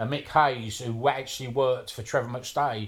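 At a fairly slow pace, a man talks with fairly even intonation and a somewhat breathy sound. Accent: South London. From south London (Wimbledon). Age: 60s. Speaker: tattooist and tattoo history collector. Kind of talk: casual interview chat.

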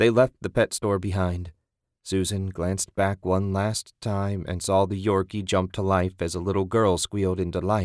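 A natural voice reads text aloud. Nothing much stirs behind it, leaving a quiet background.

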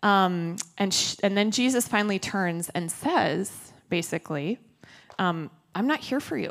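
On a very clean recording with a silent background, a woman of medium pitch speaks at a fairly slow pace, with long, frequent pauses. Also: lively intonation. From Minnesota. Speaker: pastor. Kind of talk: sermon. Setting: church. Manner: casual, conversational.

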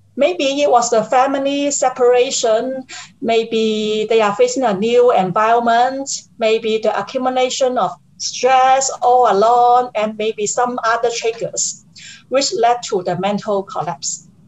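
Over noticeable background noise, a woman speaks at a fairly slow pace in a high pitch with ordinary pitch variation. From Hong Kong. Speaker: caregiver and firm partner. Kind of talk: personal testimony in interview.

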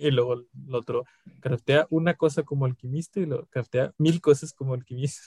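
Fairly high in pitch and somewhat breathy, a man speaks with a Mexican accent in a dark, mellow tone, keeping his intonation fairly even at a moderate pace. The sound is dry and close, with no echo. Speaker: podcast co-host. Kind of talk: casual chat.

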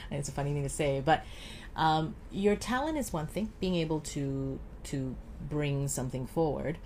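A somewhat breathy woman's voice, very deep and low, with ordinary pitch variation and a moderate pace. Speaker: voice coach and actress. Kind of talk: casual interview chat.

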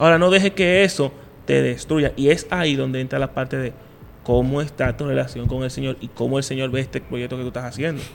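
A man talks at a fairly quick pace in a plain, everyday voice. His pitch is medium with ordinary variation. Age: 30s. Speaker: podcast host. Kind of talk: casual chat.

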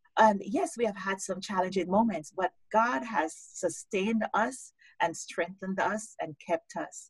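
This woman talks at a fairly slow pace in a medium pitch, her voice somewhat breathy with ordinary pitch variation. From Jamaica. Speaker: life coach and author. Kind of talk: interview on a live-streamed show.

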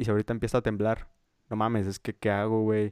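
A man with a Mexican accent talks at a fairly quick pace in a flat, monotone delivery and a fairly low pitch, recorded dry and close with no echo against a silent, very clean background. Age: young. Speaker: podcast co-host. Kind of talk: casual chat.

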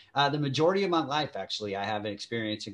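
Delivered at a very fast pace with a Southern US accent, the speech shows ordinary pitch variation. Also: man. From Kentucky. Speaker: podcast host. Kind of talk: casual chat. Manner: animated.

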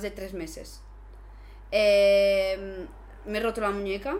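Recorded with audible room echo and noticeable background noise, a woman talks. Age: 20s. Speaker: basketball player and content creator. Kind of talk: casual chat.

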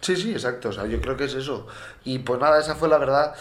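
A man of medium pitch talks at a very fast pace, with ordinary pitch variation. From Valencia, Spain. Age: 20s. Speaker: podcast co-host, handball player. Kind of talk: casual chat.

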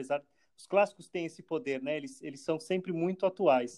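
Speaking at a fairly quick pace, a man uses ordinary pitch variation in a dark, mellow tone. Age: 30s. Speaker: actor and theatre producer. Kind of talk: interview. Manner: halting, frequent repetitions.

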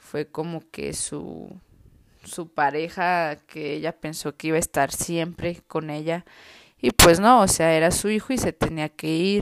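On a very clean recording with a silent background, a woman with a fairly low pitch speaks at a fairly slow pace with ordinary pitch variation. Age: 20s. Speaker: vlogger. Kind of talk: personal testimony. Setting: at home. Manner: casual, hesitant.

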